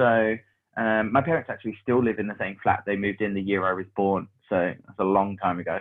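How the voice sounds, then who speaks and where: Speaking at a fairly quick pace, a man with a London accent keeps a fairly low pitch and fairly even intonation. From London (Hackney). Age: 30s. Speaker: business mentor and operations manager. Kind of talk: casual chat.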